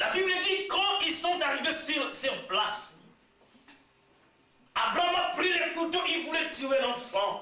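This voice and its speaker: Shouting in a raised, projected voice with a Congolese accent, a man swings his pitch very widely at a very slow pace, with audible room echo around him. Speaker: visiting preacher. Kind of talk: sermon. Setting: church service. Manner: loud, shouting; halting, repeats words.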